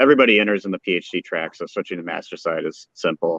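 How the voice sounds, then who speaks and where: Using a plain, everyday voice, a man talks at a fairly quick pace. His pitch is fairly low. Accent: American. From Colorado. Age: 40s. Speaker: brewer, former chemist. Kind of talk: casual interview.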